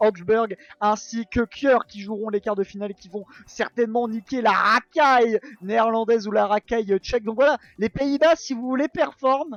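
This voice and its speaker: A man speaks at an extremely high pitch. His pace is moderate, and his pitch variation is ordinary. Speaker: esports commentator. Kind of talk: live commentary. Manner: halting.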